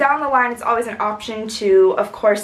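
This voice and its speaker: A woman's voice, with ordinary pitch variation, comes through audible room echo and noticeable background noise. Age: 20s. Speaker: writer. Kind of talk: casual vlog update.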